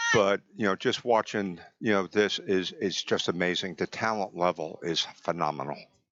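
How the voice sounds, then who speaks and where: A man's very deep, low voice with a New Jersey accent, at a moderate pace with hardly any pauses, ordinary pitch variation and very even loudness. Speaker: physical therapist, guest commentator. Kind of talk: live sports commentary chat. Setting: live tournament venue. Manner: hesitant, filler-heavy.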